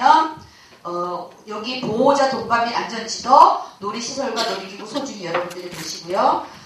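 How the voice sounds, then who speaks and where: At a moderate pace, a woman with a fairly high pitch and lively intonation speaks with big swings in loudness, amid noticeable background noise and audible room echo. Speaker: safety education instructor. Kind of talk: lecture.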